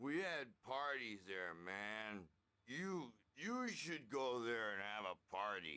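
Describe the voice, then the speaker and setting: Using a put-on character voice at a medium pitch, a man speaks at a very slow pace. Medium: video game. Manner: rowdy, blunt.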